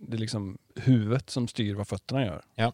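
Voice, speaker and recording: A man with a medium pitch and a plain, everyday voice speaks at a moderate pace, the sound dry and close with no echo. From Karlstad, Värmland. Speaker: podcast host and surf shop owner. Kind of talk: casual interview. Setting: small podcast studio in his shop.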